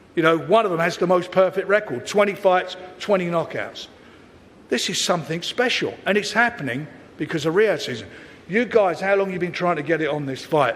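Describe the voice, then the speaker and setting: Amid audible room echo, a man speaks at a fairly quick pace with high pitch and ordinary pitch variation. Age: 70s. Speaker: boxing promoter. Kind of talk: press conference speech. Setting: press conference. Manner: animated.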